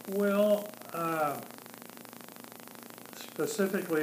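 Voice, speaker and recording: A man talks against noticeable background noise, his voice carrying audible room echo. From US Midwest, Cincinnati, Ohio. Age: 70s. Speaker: interviewee. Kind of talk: oral history interview. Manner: quiet; halting.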